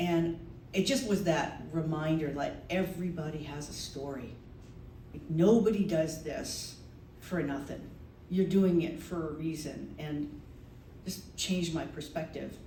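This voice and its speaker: Over noticeable background noise, a woman speaks at a fairly slow pace in a very deep, low pitch with ordinary pitch variation. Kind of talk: live storytelling performance to an audience. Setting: live venue with audience. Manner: conversational, personal anecdote.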